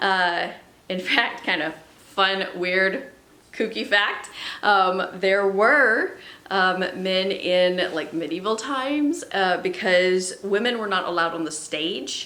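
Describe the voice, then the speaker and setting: A woman at a medium pitch and a very slow pace, with ordinary pitch variation, amid audible room echo and noticeable background noise. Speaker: music teacher. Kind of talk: lesson for school pupils. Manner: casual, with filler words.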